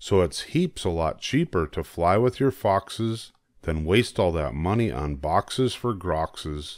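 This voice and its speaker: With lively intonation and a playful tone, the speaker goes at a fairly slow pace in a dry, close sound with no echo on a very clean recording with a silent background. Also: man, very deep, low pitch for a man. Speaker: storytelling grandfather reading children's books aloud. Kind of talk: bedtime story reading aloud of a rhyming tongue-twister picture book. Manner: playful, sing-song rhythmic delivery savoring each tongue twister; gently teasing, encouraging listener asides.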